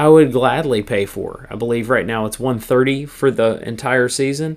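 Over a silent background in a very clean recording, a man speaks at a medium pitch and a moderate pace. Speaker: guest podcast host, religious speaker. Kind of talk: monologue reflection, devotional talk. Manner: casual, hesitant with filler words.

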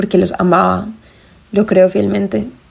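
A woman at medium pitch and moderate pace with monotone, flat intonation over noticeable background noise. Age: 20s. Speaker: podcast host. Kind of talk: personal monologue. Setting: home bedroom.

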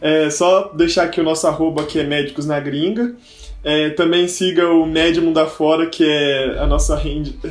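Against noticeable background noise and audible room echo, a man with a fairly high pitch talks at a moderate pace. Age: 20s. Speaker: medical student. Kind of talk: casual chat.

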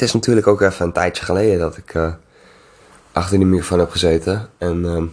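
Very fast speech from a man with a very deep, low pitch and fairly even intonation. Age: 20s. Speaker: podcast host. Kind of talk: solo casual monologue. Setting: home recording at night, music in background. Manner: rambling, halting with many fillers.

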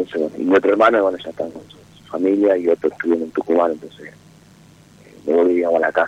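A man's very deep, low voice at a very fast pace, broken by long, frequent pauses, with fairly even intonation and big swings in loudness. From Jujuy, Argentina. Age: 30s. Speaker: caller. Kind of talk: personal call-in talk. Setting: phone call. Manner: halting.

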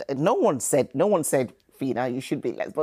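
Her tone is dark and mellow, with lively intonation. The woman speaks at a moderate pace. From Nigeria. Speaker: parenting service manager. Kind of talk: casual interview.

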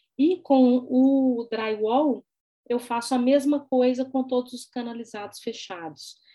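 A woman's high-pitched voice at a very slow pace, with big swings in loudness and ordinary pitch variation. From Brazil, Belo Horizonte. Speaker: visual artist and art professor. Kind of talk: interview.

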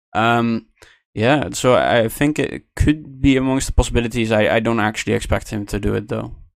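Recorded very cleanly against a silent background, a man talks at a moderate pace in a medium pitch with ordinary pitch variation. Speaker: podcast co-host and analyst. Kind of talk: casual podcast discussion of a race. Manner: hesitant, many filler words.

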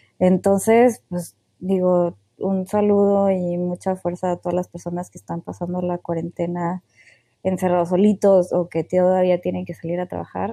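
A woman speaks at a moderate pace with a fairly low pitch and a dark, mellow tone. Her intonation is monotone and flat, and the sound is dry and close with no echo. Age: 20s. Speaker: podcast co-host. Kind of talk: casual chat. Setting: remote recording from home.

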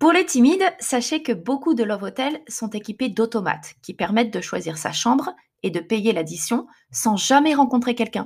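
A woman's somewhat breathy, fairly high voice at a moderate pace, with very wide pitch swings. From France. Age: 30s. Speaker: podcaster. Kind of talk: personal storytelling monologue.

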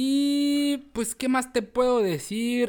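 On a very clean recording, a man's voice is heard against a silent background. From Tijuana, Mexico. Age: 30s. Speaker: podcast co-host, university lecturer, football radio commentator. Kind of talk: casual chat.

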